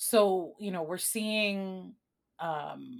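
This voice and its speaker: Speaking at a very slow pace with a Chicago accent and ordinary pitch variation, a woman is heard on a very clean recording with a silent background. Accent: Chicago American English. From Chicago, born in Puerto Rico. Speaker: arts nonprofit executive director. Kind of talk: interview conversation.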